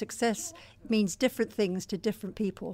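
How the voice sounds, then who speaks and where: A woman with an English accent speaks with ordinary pitch variation. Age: 60s. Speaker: life coach. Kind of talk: interview.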